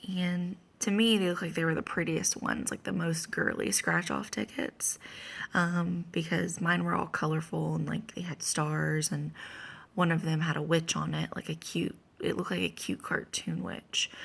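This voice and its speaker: A woman's quiet voice at a moderate pace. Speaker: vlogger sharing a dream. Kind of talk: casual monologue. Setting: at home early morning. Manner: quiet, hushed; halting with many fillers.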